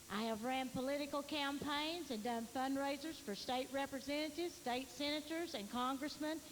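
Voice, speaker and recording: A woman with a Tennessee accent talks at a moderate pace in a high pitch, with fairly even intonation. Her loudness stays very even, she hardly pauses, and noticeable background noise is present. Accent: Southern US, Tennessee. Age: 60s. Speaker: political candidate. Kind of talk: campaign speech. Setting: candidate forum.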